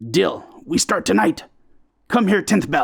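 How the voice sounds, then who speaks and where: Speaking at a fairly slow pace, a man does a raspy put-on character voice. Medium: read story. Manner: broken, clipped grammar, few words.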